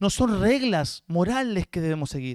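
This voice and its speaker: A man's high-pitched voice with a Rioplatense accent, dry and close with no echo, on a very clean recording with a silent background. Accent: Argentine Rioplatense Spanish. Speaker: guest pastor. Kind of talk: sermon.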